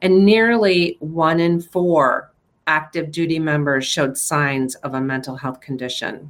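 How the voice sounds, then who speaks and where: An unremarkable speaking voice at a fairly slow pace, with ordinary pitch variation. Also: woman. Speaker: podcast co-host. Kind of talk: news discussion.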